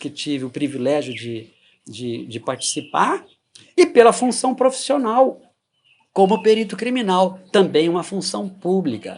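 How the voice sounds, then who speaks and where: A man's high-pitched voice makes very wide pitch swings while he talks at a fairly slow pace. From Goiás, Brazil. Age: 60s. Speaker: retired forensic expert. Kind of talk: interview testimony.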